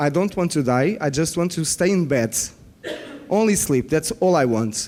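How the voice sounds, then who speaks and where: A man with a non-native accent speaks at a moderate pace, his fairly high pitch carried by lively intonation. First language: not English. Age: 40s. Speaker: biofeedback practitioner. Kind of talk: conference workshop presentation. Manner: halting; animated.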